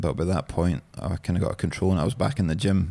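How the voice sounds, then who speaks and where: A man with a Scottish accent talks at a fairly quick pace in a very deep, low, dark, mellow voice on a very clean recording with a silent background. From Scotland, East Lothian. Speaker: beard oil business founder. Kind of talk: casual chat.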